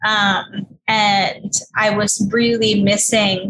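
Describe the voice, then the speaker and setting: With music in the background, a woman speaks in an American accent with monotone, flat intonation. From New York City, Queens. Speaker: author and entrepreneur. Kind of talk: interview.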